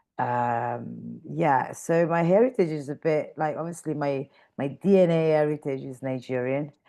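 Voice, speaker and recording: A woman's very deep, low voice with a dark, mellow tone and an Italian accent, against a quiet background. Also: ordinary pitch variation, moderate pace, hardly any pauses. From northern Italy (Mantua). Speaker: fashion stylist and creative director. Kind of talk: interview chat. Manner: many fillers, searching for words.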